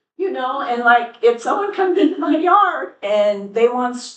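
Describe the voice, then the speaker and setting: The voice swings very widely in pitch while keeping a fairly slow pace. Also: woman. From Putnam County, US (rural). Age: 60s. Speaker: rancher and school bus driver. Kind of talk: public comment at county meeting. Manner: animated.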